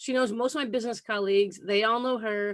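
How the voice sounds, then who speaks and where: This woman has a plain, everyday voice, pitched fairly high, with ordinary pitch variation. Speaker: online community host. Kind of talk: show host introduction.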